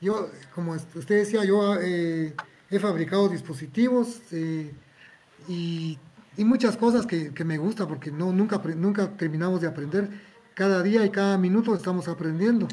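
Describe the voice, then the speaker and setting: The man talks at a fairly slow pace. His voice is high, with ordinary pitch variation. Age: 70s. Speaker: electronics technician. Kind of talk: interview.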